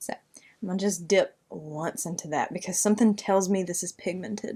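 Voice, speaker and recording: A woman with a Southern US accent talks at a moderate pace with fairly even intonation. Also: medium pitch for a woman. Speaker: beauty YouTuber. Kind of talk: makeup tutorial. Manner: casual, chatty.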